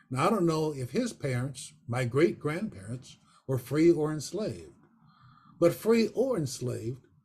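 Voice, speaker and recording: Somewhat breathy, a man talks at a fairly slow pace in a fairly high pitch with very wide pitch swings. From western Pennsylvania. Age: 80s+. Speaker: photographer and retired professor. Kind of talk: personal testimony talk. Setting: video call.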